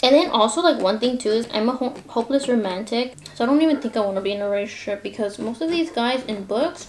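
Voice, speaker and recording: A woman with a fairly high pitch and lively intonation, very fast and with hardly any pauses, over noticeable background noise. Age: young. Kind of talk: casual talk to camera. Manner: chatty, rambling.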